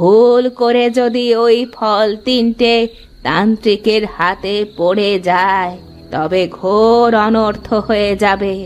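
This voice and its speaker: A female-sounding cartoonish character voice at medium pitch and a very slow pace, with clear music in the background. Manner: blunt, knowing.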